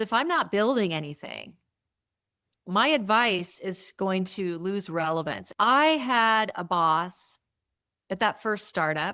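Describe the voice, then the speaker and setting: A woman with a bright, sharp tone and medium pitch speaks at a very slow pace with lively intonation. The recording is very clean, with a silent background. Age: 60s. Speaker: entrepreneur. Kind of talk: interview.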